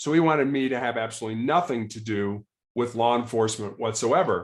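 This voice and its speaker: With an American accent, a man speaks in a plain, everyday voice at a fairly quick pace with ordinary pitch variation. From Chicago, US Midwest. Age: 60s. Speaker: cancer patient and former law enforcement officer. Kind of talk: podcast interview, personal story.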